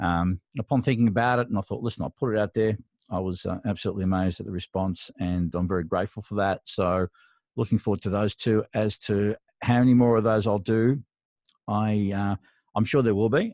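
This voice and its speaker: Speaking at a fairly quick pace in an Australian accent, a man uses a fairly low pitch with ordinary pitch variation. The sound is dry and close with no echo. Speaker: mastering engineer and mentor. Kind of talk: solo podcast monologue. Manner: hesitant, with frequent fillers.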